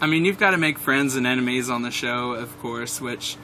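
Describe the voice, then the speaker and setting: Over noticeable background noise, a man with an American accent talks at a fairly quick pace and medium pitch. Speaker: aspiring pastry chef, reality show applicant. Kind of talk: audition interview. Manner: loud.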